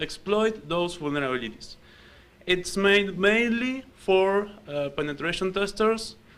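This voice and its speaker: In an Argentine accent, a man speaks at a high pitch with ordinary pitch variation and a fairly slow pace, with audible room echo around him. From Argentina. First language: Spanish. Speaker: security researcher and programmer. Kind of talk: conference talk.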